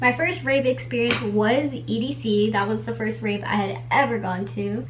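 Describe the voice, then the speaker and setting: Audible room echo and noticeable background noise behind a woman talking. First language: Spanish. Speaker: beauty vlogger. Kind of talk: casual chat. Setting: bedroom.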